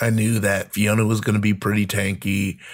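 Someone with an American accent talks at a moderate pace in a normal speaking voice. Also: man. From US. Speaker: comedian and actor. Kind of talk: casual chat.

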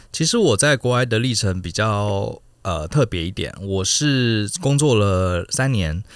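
Speaking in a plain, everyday voice with hardly any pauses, a man uses a fairly low pitch and lively intonation in a very clean recording with a silent background. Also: fairly slow pace. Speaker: company co-founder, former engineer and business consultant. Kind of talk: podcast interview.

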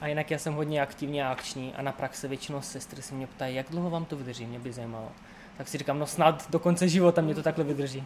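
Speaking at a very fast pace, a man uses a fairly high pitch and fairly even intonation. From Moldova. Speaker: nursing student. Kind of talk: interview. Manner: clear, precise pronunciation.

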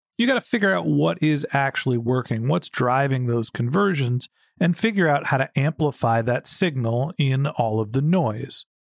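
A man speaks in a plain, everyday voice at a moderate pace, with lively intonation and very even loudness. There are hardly any pauses, and the sound is dry and close with no echo. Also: medium pitch for a man. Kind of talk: interview questioning.

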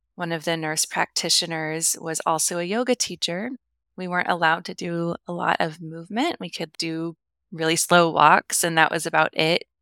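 A woman with an American accent speaks at a moderate pace, her pitch fairly low and her intonation fairly even. Her tone is bright and sharp, and the sound is dry and close with no echo on a very clean recording over a silent background. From US Midwest. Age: 30s. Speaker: yoga and meditation teacher, author. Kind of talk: casual interview.

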